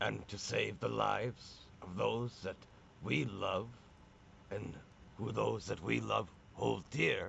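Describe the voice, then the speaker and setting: Over clear background noise, a man performs a raspy put-on character voice at a fairly slow pace with long, frequent pauses. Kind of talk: old-fashioned fantasy speech. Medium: actual play. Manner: blunt, plain-spoken, archaic speech.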